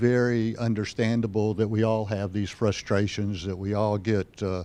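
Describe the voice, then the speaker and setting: A man's dark, mellow tone. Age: 70s. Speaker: psychiatrist. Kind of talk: personal testimony. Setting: stage with audience. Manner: frequent hesitations.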